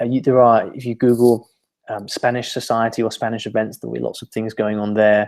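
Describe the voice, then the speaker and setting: With a British accent, a man speaks at a fairly quick pace in a dark, mellow tone. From UK. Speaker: language learning teacher. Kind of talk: webinar presentation. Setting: online webinar.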